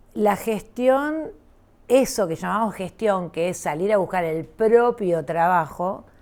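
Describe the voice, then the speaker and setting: A woman at a medium pitch, with lively intonation and a very slow pace. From Argentina, Rosario. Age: 60s. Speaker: visual artist. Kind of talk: interview conversation. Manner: halting, many fillers.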